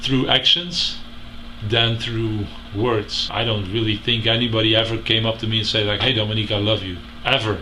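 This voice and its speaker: Speech comes at a moderate pace with fairly even intonation. Audible room echo and noticeable background noise are present. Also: man, medium pitch for a man. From Belgium. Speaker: interviewee. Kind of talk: interview testimony.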